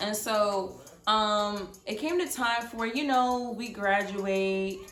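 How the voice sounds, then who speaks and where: Over noticeable background noise and audible room echo, the speaker talks at a very slow pace with ordinary pitch variation. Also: woman, fairly high pitch for a woman. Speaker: storytime vlogger. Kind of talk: storytelling monologue. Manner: casual, filler-heavy.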